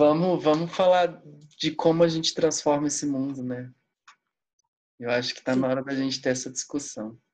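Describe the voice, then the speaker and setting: Someone talks at a moderate pace with long, frequent pauses. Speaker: podcast host. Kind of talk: casual interview chat.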